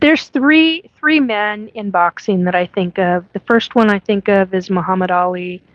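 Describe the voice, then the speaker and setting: With an American accent, a woman speaks at a medium pitch with lively intonation and hardly any pauses. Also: moderate pace. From US Pacific Northwest (Washington State). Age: 50s. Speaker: podcast host, self-described alien abductee. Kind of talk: live-stream chat reading viewer comments. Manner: casual, hesitant with many fillers.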